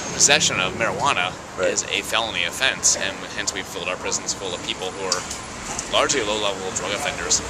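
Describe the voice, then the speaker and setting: Loud background noise fills the recording. The speaker talks at a very fast pace with ordinary pitch variation. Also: man. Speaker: interviewee. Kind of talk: interview answer. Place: street. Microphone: phone near.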